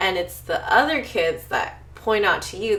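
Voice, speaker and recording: Noticeable noise runs in the background. Through it comes a woman's voice. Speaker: podcast host. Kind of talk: casual podcast talk. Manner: upbeat.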